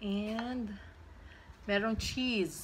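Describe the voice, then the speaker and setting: Light background noise sits under the recording. A woman speaks at a very slow pace. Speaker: mukbang vlogger host. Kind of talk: casual vlog chat. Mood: cheerful. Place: home room. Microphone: phone near.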